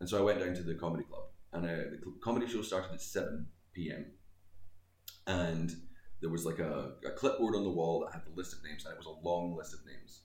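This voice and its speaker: A man with a West Coast Scottish accent speaks at a very deep, low pitch, leaving long, frequent pauses. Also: ordinary pitch variation. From Scotland; Greenock, west coast of Scotland. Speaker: comedian. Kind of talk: casual interview chat. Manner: joking, self-deprecating.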